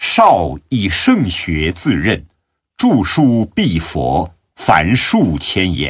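A man with a very deep, low pitch and vocal fry speaks at a very slow pace with very wide pitch swings. The background is quiet. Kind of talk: devotional audiobook reading of Buddhist biography (radio drama style). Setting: recording studio. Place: studio.

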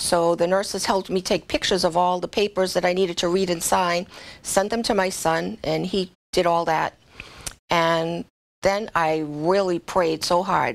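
In an American accent, a woman with fairly low pitch speaks at a moderate pace with fairly even intonation. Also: very even loudness. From Massachusetts, Boston area. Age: 60s. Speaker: hairdresser and COVID survivor. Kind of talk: personal testimony. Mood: earnest, emotional recollection. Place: studio.

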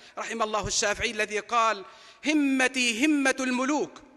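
Against a quiet background, a man with an extremely high pitch uses a raised, projected voice at a fairly slow pace, with ordinary pitch variation. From Palestine. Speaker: preacher. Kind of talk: sermon. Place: hall. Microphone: podium.

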